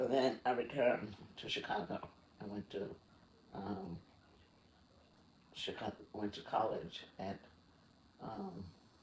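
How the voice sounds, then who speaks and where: Somewhat breathy and fairly low in pitch, a man speaks fairly slowly with fairly even intonation and long, frequent pauses. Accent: American. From US South, Mississippi. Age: 80s+. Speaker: retired graphic arts director. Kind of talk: interview.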